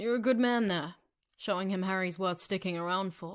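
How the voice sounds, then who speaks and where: Speaking at a moderate pace and middle pitch, a female-sounding voice performs a put-on character voice. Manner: warm, approving.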